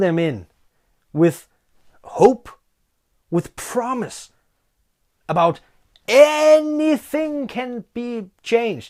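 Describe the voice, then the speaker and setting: In a non-native accent, a dark, mellow voice moves very slowly with very wide pitch swings. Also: man. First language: Danish. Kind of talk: casual talk to camera.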